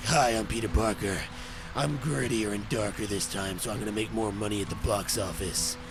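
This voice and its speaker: Over loud background noise, a gravelly, put-on character voice moves at a fairly quick pace. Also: man, fairly low pitch for a man. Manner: dark, gritty, brooding.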